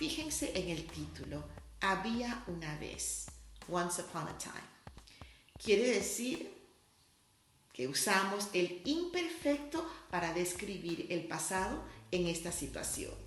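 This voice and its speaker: With a Spanish accent, a woman speaks at a fairly slow pace, taking long, frequent pauses. Audible room echo and noticeable background noise are present. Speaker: language teacher. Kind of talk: tutorial.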